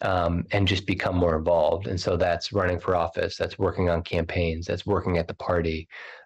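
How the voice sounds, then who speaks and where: Against a quiet background, a man with a very deep, low pitch speaks in a somewhat breathy, monotone, flat way. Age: 40s. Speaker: state party chair. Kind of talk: interview.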